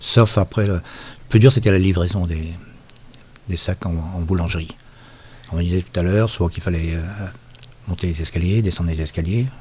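A man with a very deep, low pitch and a dark, mellow, somewhat breathy tone talks with fairly even intonation and long, frequent pauses in a very clean recording with a silent background. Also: moderate pace. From Brittany, Finistère. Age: 60s. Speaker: former mill laborer. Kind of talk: oral history interview. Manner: halting.

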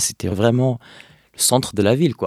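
A man with an Arabic accent and a dark, mellow tone is heard on a very clean recording with a silent background, the sound dry and close with no echo. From Palestine, Hebron (West Bank). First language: Arabic (speaking French). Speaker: activist. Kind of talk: interview. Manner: halting, many hesitations.

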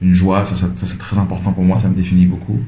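Over noticeable background noise and audible room echo, a man speaks with a very deep, low pitch. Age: 30s. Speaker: creative director and entrepreneur. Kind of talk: interview. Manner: hesitant, many repetitions and fillers.

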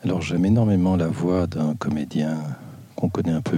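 A man talks fairly slowly, and his pitch varies in an ordinary way. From Belgium, Brussels. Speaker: interviewee in a voice booth. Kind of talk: short recorded questionnaire answers.

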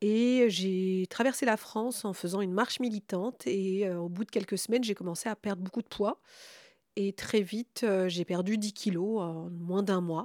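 A woman with a plain, everyday voice, medium pitch and ordinary pitch variation, on a very clean recording with a silent background. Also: fairly slow pace, dry, close sound with no echo. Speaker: radio host. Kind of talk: radio discussion. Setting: home.

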